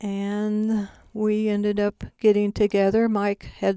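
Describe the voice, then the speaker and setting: A dark, mellow tone in a very clean recording with a silent background. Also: woman. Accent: American. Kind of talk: testimony. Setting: studio.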